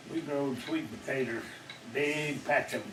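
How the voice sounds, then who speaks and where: The speaker has a Mississippi accent and ordinary pitch variation, with noticeable background noise. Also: man. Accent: Southern US (Mississippi). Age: 80s+. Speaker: retired farmer. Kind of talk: interview answer.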